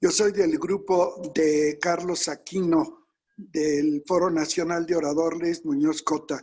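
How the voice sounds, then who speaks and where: Very slow pace, very even loudness and monotone, flat intonation. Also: man, high pitch for a man. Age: 80s+. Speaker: oratory teacher, workshop participant. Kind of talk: casual chat.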